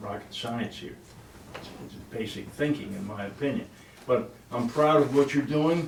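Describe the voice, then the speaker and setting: A man at a moderate pace with ordinary pitch variation, audible room echo and noticeable background noise. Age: 70s. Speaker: resident speaking at public meeting. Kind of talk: public comment at village meeting. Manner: halting, repeats words.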